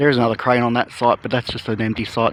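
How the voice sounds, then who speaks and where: A man with an Australian accent talks at a fairly quick pace in a medium-pitched voice. Noticeable background noise runs behind him. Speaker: construction progress vlogger. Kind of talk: casual walking vlog narration. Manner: soft-spoken; hesitant, with fillers.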